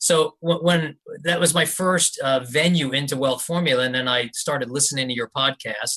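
This man has a fairly high pitch and a bright, sharp tone. He keeps a moderate pace and fairly even intonation. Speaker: private investor. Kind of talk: interview.

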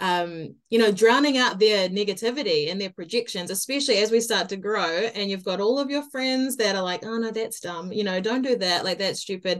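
With a New Zealand accent, a woman talks at a medium pitch with ordinary pitch variation. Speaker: podcast host and mindset coach. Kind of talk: interview. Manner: enthusiastic.

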